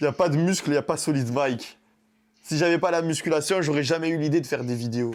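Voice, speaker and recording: Over a very clean, silent background, this speaker talks at a very fast pace in a Marseille accent, with an animated tone and ordinary pitch variation. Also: man, fairly high pitch for a man. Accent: southern French (Marseille area). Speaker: fitness YouTuber and coach. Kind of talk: casual vlog monologue.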